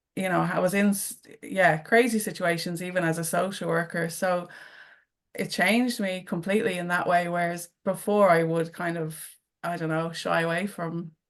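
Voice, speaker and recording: With music in the background, a woman speaks at a moderate pace in a fairly low voice with fairly even intonation. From Dublin, Ireland. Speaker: returned emigrant, social worker. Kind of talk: panel discussion.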